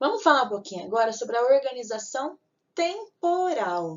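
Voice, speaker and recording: Her pitch swings very widely as she goes. This woman keeps a moderate pace. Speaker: teacher. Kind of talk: lecture.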